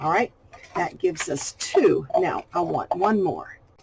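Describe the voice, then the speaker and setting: With a Southern US accent, the speaker moves at a fairly slow pace through very wide pitch swings. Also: woman. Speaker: crafting YouTuber. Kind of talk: tutorial. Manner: casual, chatty.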